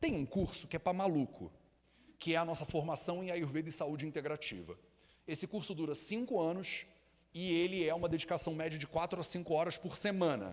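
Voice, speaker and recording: A man with a Rio de Janeiro accent, high-pitched and animated, at a fairly quick pace. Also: ordinary pitch variation. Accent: carioca (Rio de Janeiro). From Rio de Janeiro, Brazil. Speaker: Ayurveda teacher and school founder. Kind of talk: live talk to audience. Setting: stage with live audience. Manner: casual, animated.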